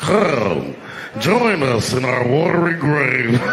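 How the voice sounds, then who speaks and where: Over clear background noise, a man uses a put-on character voice at a medium pitch. He speaks at a very slow pace. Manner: spooky, beckoning.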